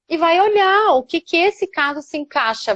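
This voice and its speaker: The woman's voice sounds dry and close with no echo, over a quiet background. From Florianópolis, Santa Catarina, southern Brazil. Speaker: family lawyer. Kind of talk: live stream conversation.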